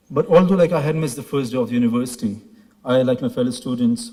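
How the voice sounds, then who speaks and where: A man speaks with ordinary pitch variation and a dark, mellow tone. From Pakistan. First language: Pashto. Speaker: graduating student. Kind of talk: ceremony speech. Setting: stage with audience.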